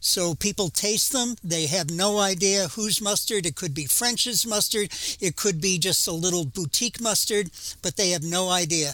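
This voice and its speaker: A man projects his voice in a raised, high pitch. His loudness stays very even. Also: ordinary pitch variation, moderate pace. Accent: New England. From Massachusetts. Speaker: museum curator and former lawyer. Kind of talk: interview.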